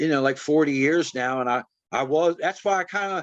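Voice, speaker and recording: This man has an unremarkable speaking voice with a fairly high pitch. His intonation is lively and his pace fairly quick. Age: 60s. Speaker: punk musician. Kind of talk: casual interview.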